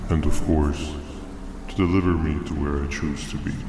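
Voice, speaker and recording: Loud background noise and a clear echo surround a man using a put-on character voice. He talks at a moderate pace. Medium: machinima. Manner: calm, measured, softly menacing.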